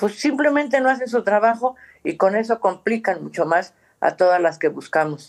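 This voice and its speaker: A woman's medium-pitched voice with very wide pitch swings at a moderate pace. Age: 70s. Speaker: human rights activist, mother searching for missing son. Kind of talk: interview.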